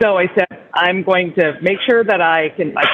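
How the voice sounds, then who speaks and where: A woman speaks at a moderate pace with a fairly low pitch and ordinary pitch variation. Noticeable background noise runs behind her. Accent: Upper Midwest. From North Dakota. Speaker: business executive. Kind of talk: panel discussion. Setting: airport lounge.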